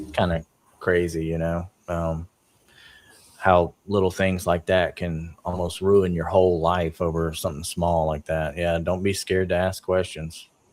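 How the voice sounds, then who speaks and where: A man speaks fairly slowly in a very deep, low voice with a Southern US accent and monotone, flat intonation. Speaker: podcast co-host. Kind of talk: podcast interview.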